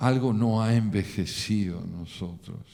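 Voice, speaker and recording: A dark, mellow tone at a fairly slow pace. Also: man. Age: 70s. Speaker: poet. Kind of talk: reflective talk. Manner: formal.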